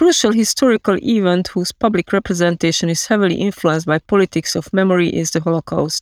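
Over a very clean recording with a silent background, a woman talks at a very fast pace with hardly any pauses and ordinary pitch variation. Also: medium pitch for a woman, dry, close sound with no echo. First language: Hungarian. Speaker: historian. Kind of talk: read-aloud research statement.

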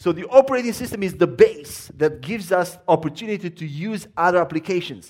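A man with a high pitch talks at a fairly quick pace with hardly any pauses, lively intonation and big swings in loudness. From Romania. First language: Romanian. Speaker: visiting preacher. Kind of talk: sermon. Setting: church.

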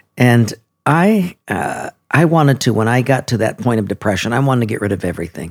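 Man at a medium pitch with an ordinary speaking voice. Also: fairly quick pace. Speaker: pastor. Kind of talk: casual interview conversation.

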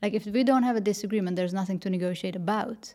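A woman's dark, mellow voice sits at a medium pitch and moves with ordinary variation. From Netherlands. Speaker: negotiator and speaker. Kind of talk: interview.

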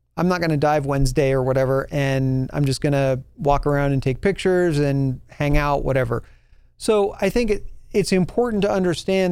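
In an American accent, a man talks at a fairly quick pace. He has a normal speaking voice with lively intonation. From New Mexico, US. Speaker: podcast host and scuba instructor. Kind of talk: casual solo podcast talk.

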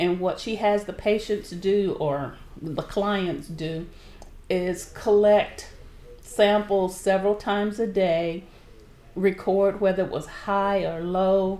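At a very slow pace, a woman speaks at medium pitch with a Southern US accent and fairly even intonation. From southern Alabama. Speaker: nonprofit board member, retired civil servant. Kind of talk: interview. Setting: radio studio.

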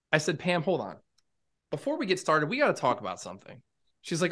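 A man's high-pitched voice, bright and sharp in tone, with very wide pitch swings over a quiet background. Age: 30s. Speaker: podcast co-host. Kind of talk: casual chat.

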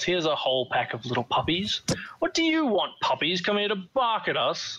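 A man puts on a character voice, high in pitch and growling. He moves at a fairly quick pace. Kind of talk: gruff. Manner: snarling, contemptuous.

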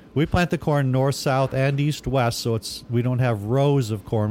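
A normal speaking voice in an American accent, its pitch varying in an ordinary way. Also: man. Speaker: farmer and agritourism business owner. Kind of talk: interview.

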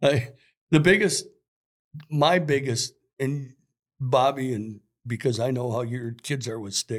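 A man speaks at a fairly slow pace, with medium pitch and ordinary pitch variation. Long, frequent pauses sit in a very clean recording with a silent background. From Minnesota, US Upper Midwest. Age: 60s. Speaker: sporting goods store worker and youth hockey coach. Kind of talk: casual chat.

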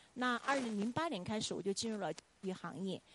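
A woman speaks in a normal speaking voice, fairly high in pitch with lively intonation. The sound is dry and close, with no echo. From China, Chongqing. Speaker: Chinese language professor. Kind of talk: testimony. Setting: church.

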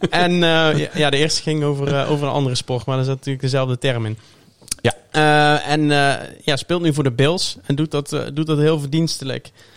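Fairly high-pitched man with an unremarkable speaking voice, moderate pace and fairly even intonation. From Tilburg, southern Netherlands. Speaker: NFL fan and podcast guest. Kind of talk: casual chat.

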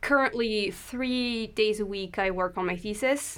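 A woman's voice with a French accent and ordinary pitch variation, in a very clean recording with a silent background. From France. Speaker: PhD student and audio drama producer. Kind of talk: podcast interview.

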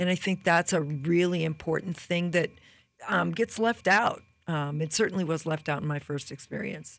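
A woman with an unremarkable speaking voice speaks at fairly low pitch and a moderate pace with ordinary pitch variation, in a very clean recording with a silent background. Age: 60s. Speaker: marketing director. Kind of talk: casual chat. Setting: studio.

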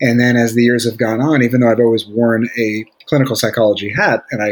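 A man with an American accent and an ordinary speaking voice, medium pitch, fairly even intonation and a fairly quick pace. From Brooklyn, New York. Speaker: psychologist. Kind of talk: interview.

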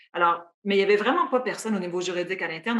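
Fairly even in intonation, a woman speaks in a plain, everyday voice. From Quebec, Matane (Gaspésie region). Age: 40s. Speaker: sports team executive. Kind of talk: interview.

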